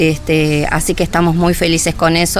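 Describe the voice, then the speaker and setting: Music plays in the background as a woman speaks at a fairly low pitch and a moderate pace, with audible room echo. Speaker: nursing home staff member. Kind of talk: radio interview. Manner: hesitant, many fillers.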